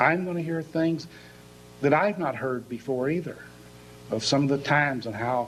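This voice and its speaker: A man's voice at a moderate pace, with long, frequent pauses and audible room echo. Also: fairly high pitch for a man, ordinary pitch variation. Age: 60s. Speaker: pastor. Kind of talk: sermon.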